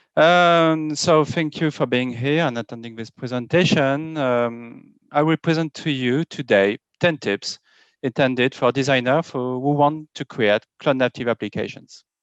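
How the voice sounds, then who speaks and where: A man with a French accent speaks fairly slowly at a fairly high pitch with ordinary pitch variation, the sound dry and close with no echo over a quiet background. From France. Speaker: software architect and developer. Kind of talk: conference talk. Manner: halting, many fillers.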